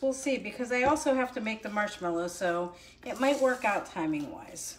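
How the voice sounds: A woman speaks at a fairly slow pace, her pitch fairly high.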